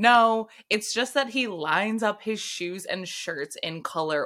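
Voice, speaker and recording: This is an ordinary speaking voice. It moves at a fairly slow pace with lively intonation. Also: woman. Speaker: podcast co-host. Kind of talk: casual chat.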